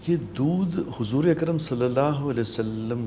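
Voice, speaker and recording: A man speaks with lively intonation. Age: 60s. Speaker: Islamic scholar. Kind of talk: religious talk show. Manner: earnest, preaching.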